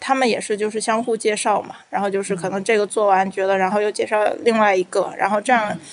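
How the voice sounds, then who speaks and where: A woman's fairly high-pitched, unremarkable speaking voice. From Beijing. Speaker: psychological counselor. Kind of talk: casual interview chat.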